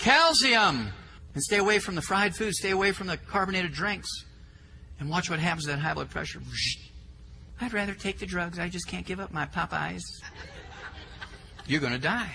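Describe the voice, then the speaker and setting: A man's fairly quick speech with long, frequent pauses and an audible room echo. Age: 60s. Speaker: health lecturer. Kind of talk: lecture. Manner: animated.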